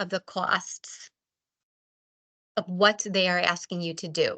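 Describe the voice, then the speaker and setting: A woman with an American accent speaks at a very slow pace in a bright, sharp tone against a quiet background. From Ohio, Cleveland. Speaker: nonprofit fundraising presenter. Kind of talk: workshop presentation. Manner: slow-paced.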